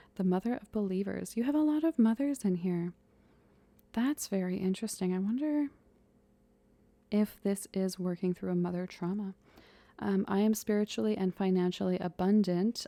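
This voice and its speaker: Soft-spoken and medium-pitched, a woman speaks at a moderate pace in a dark, mellow tone, the sound dry and close with no echo. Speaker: ASMR tarot reader. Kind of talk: ASMR tarot reading, role-play as big sister.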